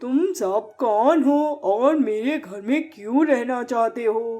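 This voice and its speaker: A cartoonish character voice, female-sounding and high in pitch, at a fairly slow pace. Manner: firm, measured.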